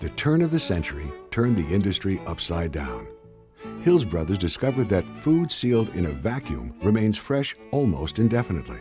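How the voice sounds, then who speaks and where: A fairly low-pitched man's voice with very wide pitch swings at a moderate pace, music in the background. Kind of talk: documentary narration.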